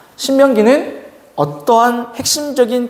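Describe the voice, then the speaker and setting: A man speaks in an animated tone. Audible room echo and noticeable background noise surround his voice. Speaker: youth pastor. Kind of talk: sermon; casual announcements to youth. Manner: fast.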